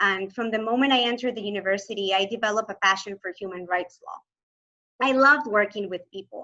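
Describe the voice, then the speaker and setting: With a Spanish accent, a woman speaks at a fairly high pitch in a bright, sharp tone, using ordinary pitch variation. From Venezuela, Maracaibo. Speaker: human rights lawyer, asylee. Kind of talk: presentation talk.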